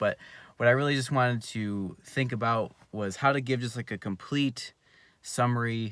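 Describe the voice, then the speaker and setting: On a very clean recording over a silent background, a man talks quietly at a medium pitch, his tone bright and sharp, with ordinary pitch variation. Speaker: youtuber, jumping and dunking coach. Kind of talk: casual live stream monologue. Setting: in a car. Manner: halting, many fillers.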